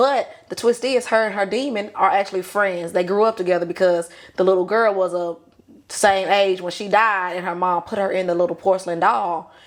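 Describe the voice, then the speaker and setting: Speaking with a Southern US accent, the voice moves at a fairly quick pace with ordinary pitch variation. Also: woman. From US South. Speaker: podcast guest, aspiring writer. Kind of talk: casual chat.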